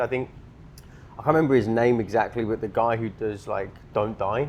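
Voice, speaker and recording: Speaking at medium pitch, a man keeps fairly even intonation with a British accent. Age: 20s. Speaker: entrepreneur, sales. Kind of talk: casual podcast chat.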